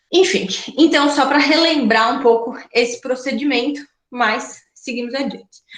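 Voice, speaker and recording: At a fairly slow pace, a woman speaks with a high pitch and ordinary pitch variation. Audible room echo is present. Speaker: law professor. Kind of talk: lecture.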